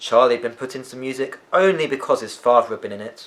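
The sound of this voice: The speaker talks at a fast pace with a fairly bright tone and ordinary pitch variation. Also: man, medium pitch for a man.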